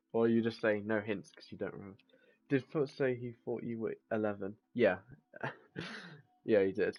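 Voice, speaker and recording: With fairly even intonation and a moderate pace, a man talks in big swings of loudness, broken by long, frequent pauses. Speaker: gaming streamer. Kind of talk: live gameplay stream chat. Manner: casual, halting with fillers.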